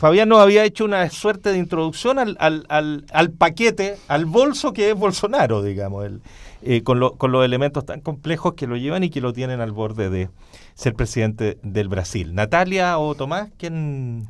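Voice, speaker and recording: This is a male speaker with a moderate pace. The swings in his pitch are very wide. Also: fairly high pitch for a man. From Chile. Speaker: radio talk show host. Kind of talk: panel discussion. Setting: radio studio. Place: studio. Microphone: studio mic.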